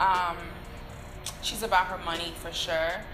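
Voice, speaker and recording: A woman speaks. Clear music plays in the background. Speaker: actor in interview. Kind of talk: interview answer. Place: bar.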